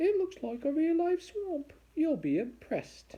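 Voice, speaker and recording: Squeaky, extremely high put-on character voice at a moderate pace. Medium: read story.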